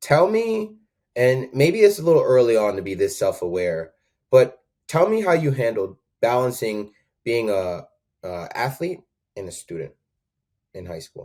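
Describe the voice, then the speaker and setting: A man with an American accent at medium pitch, dark and mellow in tone, with very wide pitch swings, big swings in loudness and long, frequent pauses. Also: moderate pace. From Connecticut (Danbury). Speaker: podcast host, former track coach. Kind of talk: interview.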